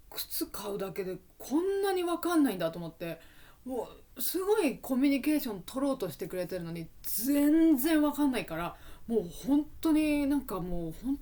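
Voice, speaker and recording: The tone is dark and mellow, with very wide swings in pitch. Loudness rises and falls sharply at a moderate pace. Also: woman. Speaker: Japanese language teacher. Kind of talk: educational podcast, casual talk. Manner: relaxed, conversational.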